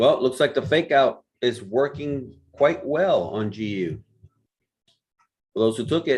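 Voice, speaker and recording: A man speaks at a fairly slow pace with long, frequent pauses. His voice is fairly high in pitch and somewhat breathy. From Puerto Rico. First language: Spanish. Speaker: forex trading mentor. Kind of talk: live trading stream commentary. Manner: casual, thinking aloud.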